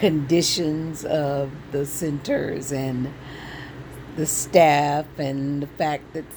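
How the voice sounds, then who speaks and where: A woman speaks very slowly in a very deep, low pitch with fairly even intonation. Room echo is audible, and background noise is noticeable. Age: 60s. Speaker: vlogger sharing health journey. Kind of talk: personal vlog testimony. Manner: casual, hesitant with fillers.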